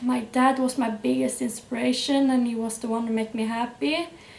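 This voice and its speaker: There is noticeable background noise behind a woman's voice. She speaks high-pitched at a moderate pace with a Norwegian accent. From Norway. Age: 20s. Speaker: YouTuber. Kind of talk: personal testimony. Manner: hesitant, with fillers.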